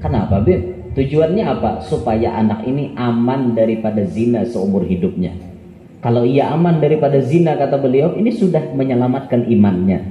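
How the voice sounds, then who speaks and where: A man with a South Kalimantan accent speaks at a fairly quick pace in a medium pitch, his intonation lively over noticeable background noise. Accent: Banjar, Kelua dialect. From South Kalimantan, Indonesia. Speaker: Islamic preacher. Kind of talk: religious sermon. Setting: live gathering. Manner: humorous.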